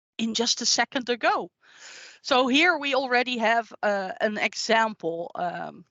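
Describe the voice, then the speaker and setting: Speaking fairly slowly in a Dutch accent, a woman uses a fairly high pitch and lively intonation. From Netherlands. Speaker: IT consultant. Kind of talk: tech demo presentation.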